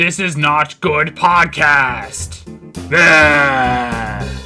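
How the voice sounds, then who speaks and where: Over faint music in the background, a man uses a strained, put-on character voice pitched fairly high. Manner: grumpy, dismissive.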